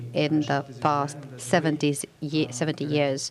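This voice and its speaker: A woman with a very deep, low pitch speaks amid audible room echo and noticeable background noise. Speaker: diplomat. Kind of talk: panel introduction. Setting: conference panel.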